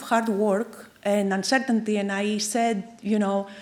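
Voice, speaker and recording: This woman has a fairly high pitch and a Greek accent. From Greece. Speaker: chemical engineer. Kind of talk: keynote lecture.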